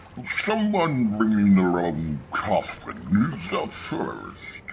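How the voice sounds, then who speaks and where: Against clear background noise, a man uses a put-on character voice at a very slow pace. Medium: video game. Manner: dry, sardonic.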